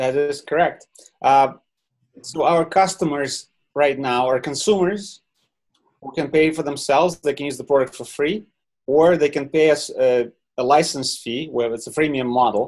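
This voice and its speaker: A man speaks in a Ukrainian accent with a fairly high pitch. His pitch varies in an ordinary way against a quiet background. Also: moderate pace. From Ukraine. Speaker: software company founder. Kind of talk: webinar interview. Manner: halting.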